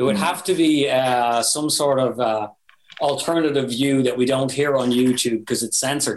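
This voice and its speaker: A man with an Irish accent speaks at a moderate pace and medium pitch, with ordinary pitch variation and very even loudness. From Ireland. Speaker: metal band vocalist and guitarist. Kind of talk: casual podcast interview.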